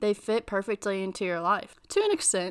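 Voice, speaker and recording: At a moderate pace and medium pitch, a woman talks in an ordinary speaking voice on a very clean recording with a silent background. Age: 20s. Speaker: podcast host. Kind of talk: casual solo talk. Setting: home.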